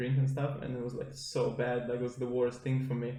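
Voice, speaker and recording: A man at medium pitch and moderate pace, monotone and flat in intonation, with audible room echo. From Estonia. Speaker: podcast guest, judo athlete. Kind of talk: casual chat.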